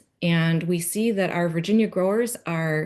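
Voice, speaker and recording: A woman speaks with a plain, everyday voice at a fairly low pitch. She keeps a moderate pace against a quiet background. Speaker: conference presenter on grapevine pest research. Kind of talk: conference presentation.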